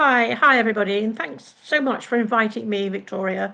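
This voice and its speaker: Talking at a fairly quick pace, a woman speaks in an English accent. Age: 70s. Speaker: retired personal assistant. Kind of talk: panel discussion.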